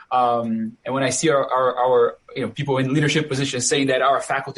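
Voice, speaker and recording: A man talks with a Brazilian accent at a moderate pace. His pitch is fairly high. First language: Portuguese. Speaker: professor and moderator. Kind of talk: panel discussion.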